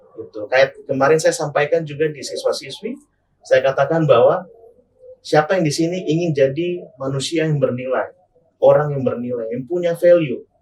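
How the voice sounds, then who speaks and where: A high man's voice, moderately paced, its pitch varying in an ordinary way. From Sorong, Papua, raised also in Manado. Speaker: legal consultant and former TV presenter. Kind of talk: podcast interview.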